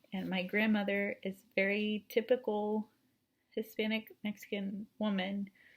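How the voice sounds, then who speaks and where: A woman's somewhat breathy, medium-pitched voice, very slow and monotone with flat intonation. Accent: Texan. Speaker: university student. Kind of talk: class presentation.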